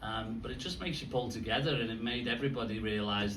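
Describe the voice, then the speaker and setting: There is audible room echo and noticeable background noise. Through it, a man speaks at a fairly low pitch. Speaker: football club executive. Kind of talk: press conference. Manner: halting, many repetitions.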